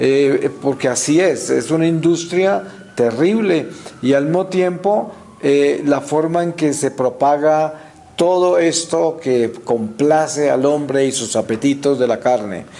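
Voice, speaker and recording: Against noticeable background noise and audible room echo, a man with a fairly high voice speaks very slowly, using ordinary pitch variation. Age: 60s. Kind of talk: religious talk. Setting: church, before the altar. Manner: frequent hesitations and fillers.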